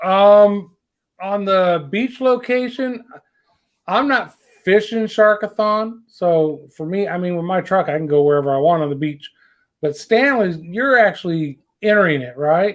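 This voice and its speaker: The speaker has a Southern US accent and talks at a fairly slow pace. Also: man, high pitch for a man, lively intonation. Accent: southern drawl. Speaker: fishing show host. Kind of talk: casual chat. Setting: livestream.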